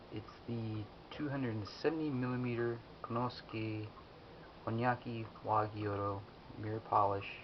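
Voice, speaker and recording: A soft-spoken man at medium pitch, moderate pace, fairly even intonation, long and frequent pauses. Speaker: kitchen knife enthusiast. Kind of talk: casual product review talk to camera.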